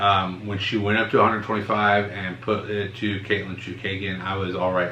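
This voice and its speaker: Noticeable background noise sits behind the recording. A man holds a moderate pace and fairly even intonation. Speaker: MMA podcast co-host. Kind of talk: casual podcast talk.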